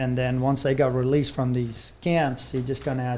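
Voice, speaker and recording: With audible room echo, a man speaks at a moderate pace in a medium pitch and a monotone, flat intonation. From South Africa, rural Vereeniging area. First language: Afrikaans. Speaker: horse trainer. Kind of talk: podcast interview.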